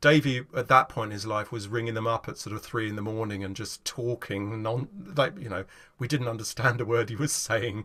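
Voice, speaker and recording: In an English accent, the speaker talks at a fairly quick pace with a bright, sharp tone, ordinary pitch variation and big swings in loudness against a quiet background. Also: man. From England. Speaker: folk guitarist. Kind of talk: casual chat. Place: home room.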